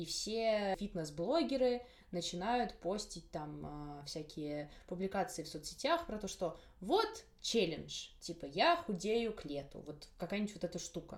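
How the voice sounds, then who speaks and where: Speaking at a fairly slow pace, a woman uses a medium pitch and lively intonation in a plain, everyday voice. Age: 20s. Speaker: podcast host, university student. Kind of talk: casual interview chat.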